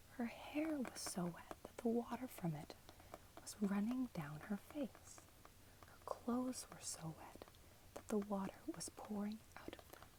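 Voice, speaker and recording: Noticeable noise lingers behind a whisper that moves along fairly slowly. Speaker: ASMR content creator. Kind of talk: ASMR bedtime story reading, whispered, with repeated phrases. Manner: whispered, soft.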